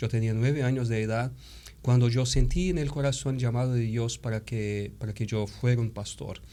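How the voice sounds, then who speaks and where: At a moderate pace, a man with a Brazilian accent speaks at a medium pitch with ordinary pitch variation. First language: Portuguese (speaking Spanish). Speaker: theology professor and pastor. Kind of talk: interview. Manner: halting, with fillers.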